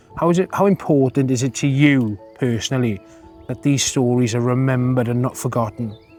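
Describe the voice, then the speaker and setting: A man speaks fairly quickly. Behind him, music is playing. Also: medium pitch for a man, ordinary pitch variation. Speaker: interviewer, filmmaker. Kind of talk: interview questions.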